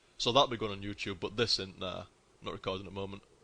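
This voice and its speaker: A man with a northern English accent speaks in a bright, sharp tone. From northern England. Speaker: gaming streamer. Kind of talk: casual live-stream commentary. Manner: casual, sweary and chatty.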